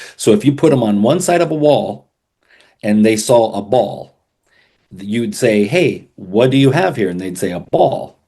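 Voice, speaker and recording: Using lively intonation, a man with a medium pitch and a dark, mellow tone speaks at a moderate pace. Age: 60s. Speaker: worship pastor and author, life coach. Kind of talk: podcast interview. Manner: casual, with hesitations and restarts.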